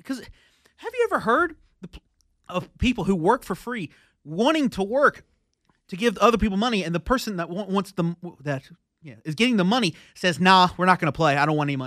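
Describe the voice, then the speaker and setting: A man talks at a very fast pace in a high pitch with a bright, sharp tone, leaving long, frequent pauses. The recording is very clean with a silent background, dry and close with no echo. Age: 20s. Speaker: sports podcast co-host. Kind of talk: casual chat. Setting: studio. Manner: halting, frequent stammering.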